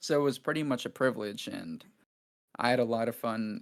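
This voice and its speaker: Fairly quick delivery on a very clean recording with a silent background. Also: man. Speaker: YouTube documentary creator. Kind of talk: casual chat. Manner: monotone.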